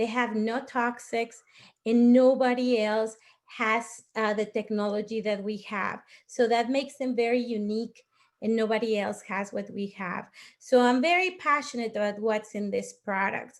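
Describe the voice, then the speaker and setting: A woman talks with a Mexican accent. The recording is very clean, with a silent background. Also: fairly high pitch for a woman, fairly even intonation, moderate pace. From Mexico. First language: Spanish. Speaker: network marketing leader. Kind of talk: testimony.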